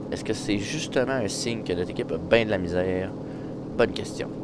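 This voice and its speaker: Noticeable background noise and audible room echo surround the recording. A man talks at a very fast pace. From Quebec. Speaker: gaming YouTuber. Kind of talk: live gameplay commentary. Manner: animated.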